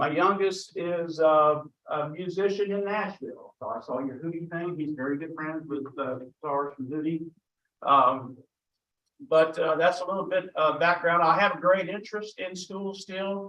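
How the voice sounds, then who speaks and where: A man with an American accent speaks loudly at a moderate pace. His pitch is high, with ordinary variation. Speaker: school board candidate, retired educator. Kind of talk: campaign speech.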